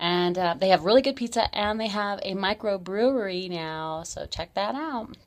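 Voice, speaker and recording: Lively intonation at a moderate pace, with hardly any pauses and big swings in loudness. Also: woman, medium pitch for a woman. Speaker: local events host. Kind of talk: community events roundup.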